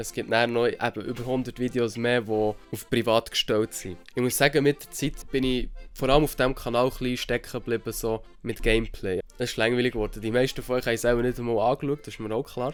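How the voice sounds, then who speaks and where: Flat, monotone intonation runs over music in the background. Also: man, medium pitch for a man, fairly quick pace, hardly any pauses. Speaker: vlogger. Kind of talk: casual talk to camera.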